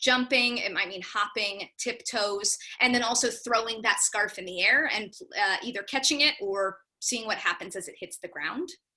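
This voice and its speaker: Barely pausing, a woman with a fairly high voice shows ordinary pitch variation and big swings in loudness. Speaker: drama teacher for young children. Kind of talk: workshop presentation. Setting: video call. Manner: fast.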